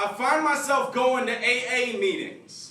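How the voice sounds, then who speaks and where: Over noticeable background noise, a man with an extremely high pitch uses a raised, projected voice at a very slow pace. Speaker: spoken word poet. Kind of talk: slam poetry performance.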